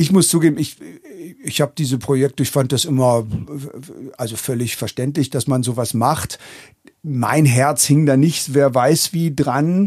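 There are long, frequent pauses as a man with a fairly high pitch talks with ordinary pitch variation. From northern Germany, Hannover and Braunschweig. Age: 50s. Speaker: drummer and drum teacher. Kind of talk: casual interview. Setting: garden house.

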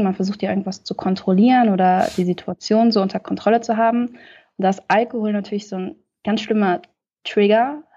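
This woman has a plain, everyday voice at a medium pitch. She talks at a fairly quick pace. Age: 20s. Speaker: podcast guest sharing lived experience. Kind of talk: testimony.

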